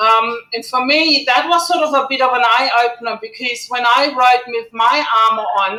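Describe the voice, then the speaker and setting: Fairly even intonation and a moderate pace mark this voice, spoken in a German accent. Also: woman. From Germany. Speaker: gear company founder, motorcyclist. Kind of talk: talk to online community.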